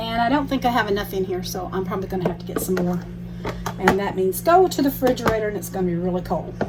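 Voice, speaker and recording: Someone with an American accent mumbles at a very fast pace, with audible room echo and noticeable background noise. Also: woman. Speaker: cooking vlogger. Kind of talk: tutorial. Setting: home kitchen. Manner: mumbling; trying to talk loud.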